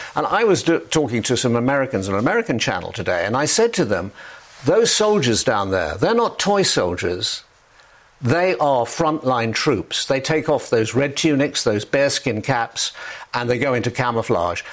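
A man with an English accent speaks at a moderate pace and medium pitch, swinging very widely in pitch while his loudness stays very even, over noticeable background noise. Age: 70s. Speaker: former royal correspondent. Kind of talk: interview. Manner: halting.

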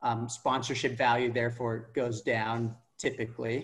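A man's medium-pitched, somewhat breathy voice with an American accent, at a moderate pace. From California, Palo Alto. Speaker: football fan and former club board candidate. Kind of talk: casual interview.

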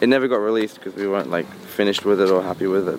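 Background noise is noticeable as a man talks very fast with an Australian accent. His voice is fairly low, with ordinary pitch variation. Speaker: musician. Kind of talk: casual interview.

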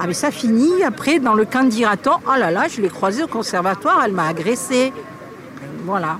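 Crowd noise fills the background as a woman with a fairly high pitch talks at a moderate pace with very wide pitch swings. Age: 50s. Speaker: local politician. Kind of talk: recorded interview.

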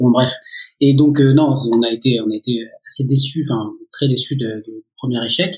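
A somewhat breathy man speaks at a fairly slow pace, with a medium pitch and fairly even intonation. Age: 30s. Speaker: photographer and journalist. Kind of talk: casual chat.

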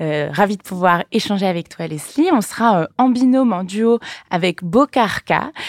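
With lively intonation and a fairly slow pace, a woman talks in an unremarkable speaking voice. The sound is dry and close, without echo. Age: 20s. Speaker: podcast host and entrepreneur. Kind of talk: interview. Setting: company offices.

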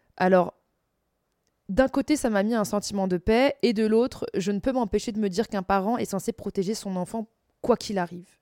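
A woman speaks at a moderate pace and medium pitch with ordinary pitch variation, a dark, mellow tone and long, frequent pauses. The recording is very clean with a silent background, and the sound is dry and close with no echo. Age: 30s. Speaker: podcast host. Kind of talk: casual monologue.

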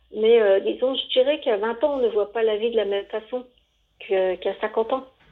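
This woman has a fairly high pitch. She talks at a moderate pace. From Savoie, France. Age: 50s. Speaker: interviewee. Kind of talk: interview. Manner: hesitant, repeating words.

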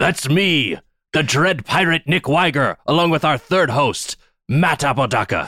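A man's raspy put-on character voice, fairly high in pitch, at a moderate pace, in a very clean recording with a silent background. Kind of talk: exaggerated nautical speech. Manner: gruff, swashbuckling.

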